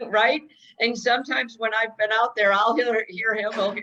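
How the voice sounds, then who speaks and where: A woman speaks loudly at a moderate pace, her voice fairly high with a bright, sharp tone. Her intonation stays fairly even. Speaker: real estate trainer. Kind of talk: training session.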